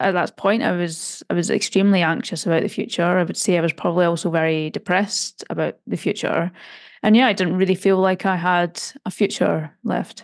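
With a plain, everyday voice, a woman speaks at a fairly quick pace with a fairly low pitch and fairly even intonation. The sound is dry and close with no echo, against a quiet background. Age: 30s. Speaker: data scientist and author. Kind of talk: interview.

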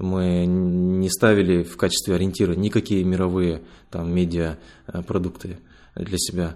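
Very deep and low, a man's voice carries a dark, mellow tone at a fairly slow pace with monotone, flat intonation. The recording is very clean, with a silent background. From Kazakhstan, Ust-Kamenogorsk. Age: 30s. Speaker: teacher and science editor. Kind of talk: interview conversation.

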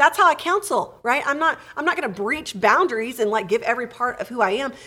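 Raised and projected, a woman's high-pitched voice with an American accent races at a very fast pace with hardly any pauses, a bright, sharp tone and very wide pitch swings. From Texas. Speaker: therapist podcast host. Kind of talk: casual chat.

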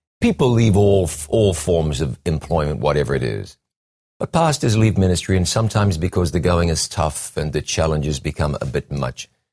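The voice has a dark, mellow tone with vocal fry, lively intonation and a moderate pace. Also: man, very deep, low pitch for a man. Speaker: TV interview host. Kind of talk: interview.

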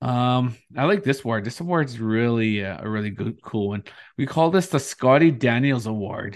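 Here a man talks at a moderate pace and medium pitch with lively intonation over a quiet background. He has an unremarkable speaking voice. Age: 40s. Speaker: podcast host. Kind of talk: casual chat.

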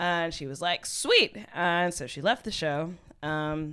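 Speaking at a fairly slow pace with fairly even intonation, a woman with a very deep, low voice and a Texan accent is heard on a very clean recording with a silent background. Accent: Texan American. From US, Houston, Texas. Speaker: poet, spoken word artist. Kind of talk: casual chat.

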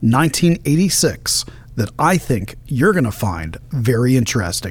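Speaking at a fairly slow pace, a man uses vocal fry and very wide pitch swings. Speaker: podcast host and political commentator. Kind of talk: political commentary monologue.

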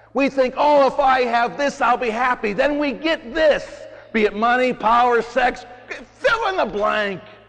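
Against noticeable background noise, a man with an extremely high pitch talks at a fairly slow pace. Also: ordinary pitch variation. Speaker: priest. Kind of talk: homily at Mass. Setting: church. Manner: animated; informal.

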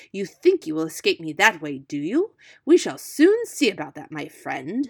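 A growling, put-on character voice at a middle pitch moves at a moderate pace on a very clean recording with a silent background. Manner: menacing, snarling, angry.

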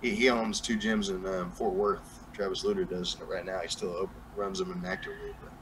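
A man speaks in an American accent at a fairly quick pace. There is noticeable background noise. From New Mexico, US. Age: 30s. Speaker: music artist. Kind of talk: casual interview chat. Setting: live stream, video call.

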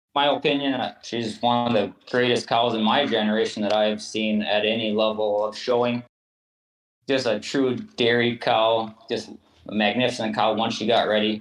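Moderate pacing and a flat, monotone intonation from a man with a medium-pitched voice. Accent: American. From southeast Minnesota. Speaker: hoof trimmer and cattle fitter. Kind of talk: interview.

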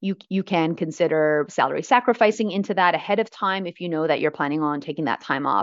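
In a Canadian accent, a woman with an unremarkable speaking voice and fairly low pitch talks at a fairly quick pace with lively intonation. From Canada, Vancouver. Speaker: financial educator and author. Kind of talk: interview.

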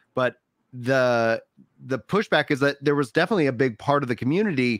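Heard in a very clean recording with a silent background and a dry, close sound with no echo, a man with a plain, everyday voice talks at a moderate pace with ordinary pitch variation. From Texas. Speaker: gaming podcast host. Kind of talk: casual chat. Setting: live stream.

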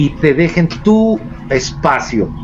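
Amid noticeable background noise, a man with a fairly high voice makes very wide pitch swings. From Mexico, San Luis Potosí. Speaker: paranormal investigator. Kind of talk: casual chat.

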